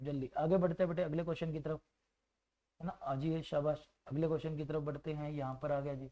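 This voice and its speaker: Flat, monotone delivery at a moderate pace with a dark, mellow tone. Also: man, fairly high pitch for a man. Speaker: maths teacher. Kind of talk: online exam-prep lecture. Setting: faulty microphone.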